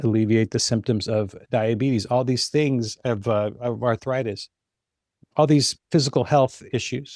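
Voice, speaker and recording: Recorded very cleanly against a silent background, the dry, close voice has no echo and moves at a moderate pace with fairly even intonation. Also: man. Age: 60s. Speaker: fitness business consultant. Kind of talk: podcast interview. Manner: conversational, some hesitations.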